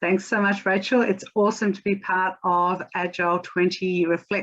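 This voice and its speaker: Speaking at a moderate pace, a woman with an Australian accent has a fairly low voice. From Australia (Melbourne). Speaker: agile coach and consultant. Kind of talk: conference talk.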